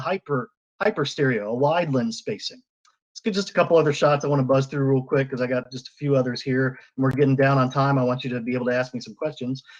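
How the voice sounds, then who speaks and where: A man's fairly high voice at a very fast pace, with ordinary pitch variation. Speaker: 3D photographer. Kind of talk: presentation.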